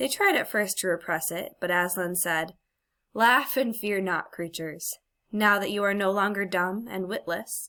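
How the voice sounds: A natural reading voice is heard with a quiet background.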